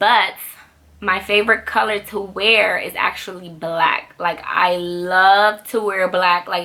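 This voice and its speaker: Noticeable background noise surrounds a voice whose intonation stays fairly even. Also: woman, medium pitch for a woman. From Dominican Republic. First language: Spanish. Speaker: YouTube vlogger. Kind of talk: casual Q&A vlog. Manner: fast.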